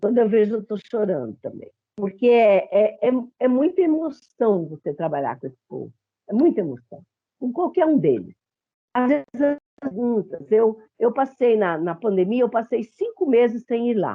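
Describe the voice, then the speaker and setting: At a moderate pace, a woman with a fairly high pitch speaks with very wide pitch swings. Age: 70s. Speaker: psychologist. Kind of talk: panel discussion.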